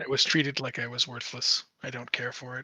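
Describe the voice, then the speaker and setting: A put-on character voice from a man, raspy and medium in pitch, with monotone, flat intonation, big swings in loudness and a fairly quick pace. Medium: actual play. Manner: terse, grandiose, dry.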